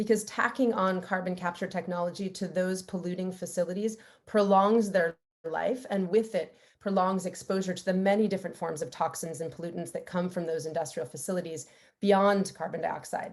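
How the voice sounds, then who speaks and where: Speaking in a normal speaking voice with an American accent, a woman at medium pitch moves at a fairly quick pace with fairly even intonation. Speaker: environmental law advocate. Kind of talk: webinar presentation.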